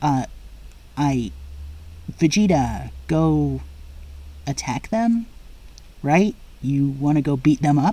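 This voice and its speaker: In a put-on character voice, a man talks very slowly, with pauses that are long and frequent. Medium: read story.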